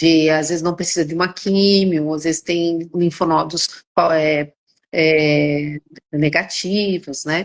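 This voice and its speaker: A woman's very slow, monotone delivery with flat intonation. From São Paulo, Brazil. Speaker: gynecologist. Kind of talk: casual chat. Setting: live stream. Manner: halting, many repetitions.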